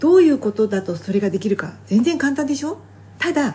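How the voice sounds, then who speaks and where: Her tone dark and mellow, a woman speaks at a fairly high pitch that makes very wide swings. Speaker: health and beauty advisor, fitness competitor. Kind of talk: solo podcast talk. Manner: fast; casual conversational.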